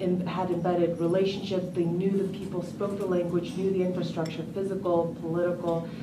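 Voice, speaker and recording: Noticeable background noise sits behind this voice. A woman speaks at a moderate pace. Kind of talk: conference speech. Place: hall.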